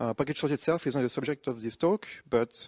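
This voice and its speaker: In a French accent, a man talks with ordinary pitch variation, the sound dry and close with no echo, the recording very clean over a silent background. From France. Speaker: conference speaker, software developer. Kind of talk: conference talk. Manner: hesitant, many fillers.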